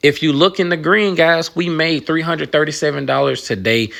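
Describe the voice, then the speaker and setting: Lively intonation marks this man's speech. His tone is animated and his pace fairly quick. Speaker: retail investing YouTuber. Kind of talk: casual portfolio update vlog.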